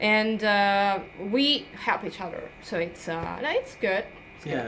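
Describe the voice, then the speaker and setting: A woman's medium-pitched voice at a fairly slow pace, ordinary pitch variation, noticeable background noise. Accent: Italian. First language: Italian. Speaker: comic artist. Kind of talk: convention panel interview. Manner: halting.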